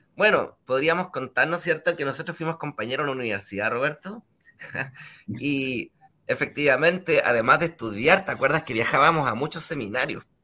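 A man speaks at a fairly quick pace with a fairly high pitch, a bright, sharp tone and lively intonation. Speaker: show host. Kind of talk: interview.

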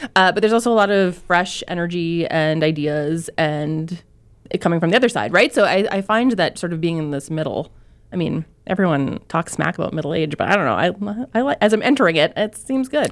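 A woman with an unremarkable speaking voice, fairly low pitch and lively intonation. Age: 30s. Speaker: newspaper columnist, guest co-host. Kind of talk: casual chat. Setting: studio.

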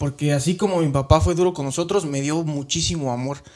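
A man speaks at a fairly quick pace in a plain, everyday voice, his fairly high pitch moving with ordinary variation. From Mexico, Guanajuato. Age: 30s. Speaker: immigrant sharing life story. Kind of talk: interview testimony.

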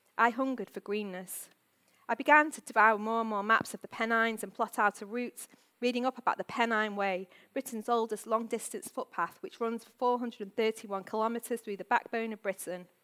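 A woman with a Manchester accent speaks at a fairly high pitch in a bright, sharp tone with fairly even intonation, on a very clean recording with a silent background and dry, close sound with no echo. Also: moderate pace. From northern England, Manchester. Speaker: author. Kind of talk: reading aloud. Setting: stage with audience.

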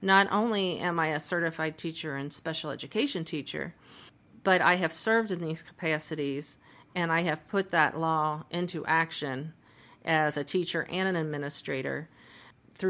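A woman with a Midwestern American accent has a very deep, low pitch and a bright, sharp tone. She speaks at a moderate pace with ordinary pitch variation. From US Midwest, Cincinnati, Ohio. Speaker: mediator and arbitrator. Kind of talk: casual interview.

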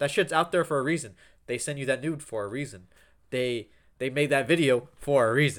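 This man has an ordinary speaking voice with a fairly high pitch and ordinary pitch variation. He speaks at a fairly quick pace in a very clean recording with a silent background. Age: 20s. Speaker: podcast co-host. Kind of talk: casual chat.

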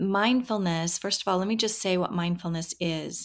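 Recorded very cleanly over a silent background, a woman with an American accent and an unremarkable speaking voice talks at a moderate pace and medium pitch, her intonation fairly even. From Washington State, US. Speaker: professor. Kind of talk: interview.

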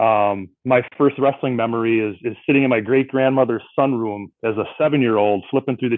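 A man at a medium pitch and moderate pace, in a normal speaking voice with fairly even intonation. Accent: American. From Milwaukee, Wisconsin. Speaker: sports writer, trivia challenger. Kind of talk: casual chat.

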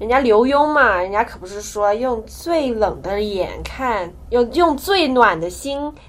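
A woman speaks at a fairly slow pace in a fairly high voice. Noticeable background noise runs behind her. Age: 20s. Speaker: podcast co-host, university student. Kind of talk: casual chat.

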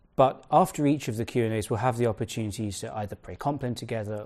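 Against a quiet background, the voice moves at a very fast pace with ordinary pitch variation. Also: man, hardly any pauses. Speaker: event organizer. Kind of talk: formal introduction. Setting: video call.

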